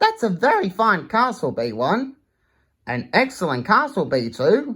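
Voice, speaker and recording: On a very clean recording with a silent background, a put-on character voice with a fairly high pitch moves at a moderate pace. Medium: read story. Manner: call each other by name.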